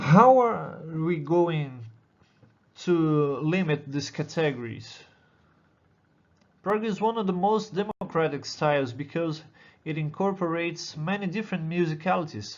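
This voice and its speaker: A man with a Brazilian accent leaves long, frequent pauses, and the room echo is audible. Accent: non-native English, Brazilian. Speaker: doctoral student in musicology. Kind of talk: conference presentation. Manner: halting.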